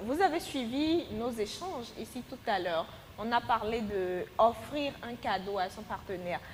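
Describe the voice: Speaking at a fairly slow pace with few pauses, a woman uses a fairly high pitch and lively intonation.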